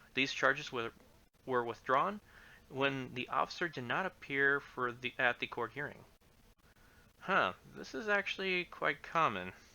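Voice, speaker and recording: Quietly, a man speaks at a fairly high pitch with lively intonation. He goes fairly slowly, with long, frequent pauses. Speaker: livestreamer reading case law. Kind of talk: reading aloud. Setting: livestream. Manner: halting. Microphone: complaints it is too quiet, mic amplified.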